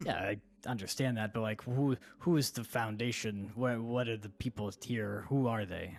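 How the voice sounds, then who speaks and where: Putting on a character voice, a man talks at a moderate pace with a medium pitch. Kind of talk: comic pirate voice. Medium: actual play. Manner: rambling, forgetful, self-pitying.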